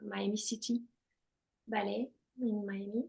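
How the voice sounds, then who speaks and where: A French accent comes through speech delivered at a fairly slow pace. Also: woman. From France. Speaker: former ballet dancer. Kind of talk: interview. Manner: halting.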